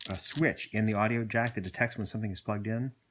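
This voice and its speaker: Soft-spoken, a man talks with a fairly low pitch. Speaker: video blogger reviewing gear. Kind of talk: tutorial. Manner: halting, many fillers.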